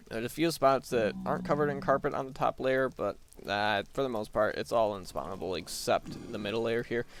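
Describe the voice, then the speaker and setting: Lively in intonation and marked by vocal fry, a man's medium-pitched voice moves at a fairly quick pace. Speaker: gaming video creator. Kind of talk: gameplay commentary. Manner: soft-spoken.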